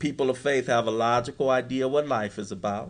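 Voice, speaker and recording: A man speaks at a fairly quick pace in a plain, everyday voice, medium in pitch, with ordinary pitch variation. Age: 50s. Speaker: recovery speaker. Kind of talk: workshop talk.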